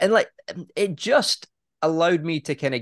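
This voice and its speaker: Recorded with a dry, close sound and no echo, a man talks at a moderate pace with a British accent. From Britain. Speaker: property investor and podcaster. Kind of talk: casual interview chat.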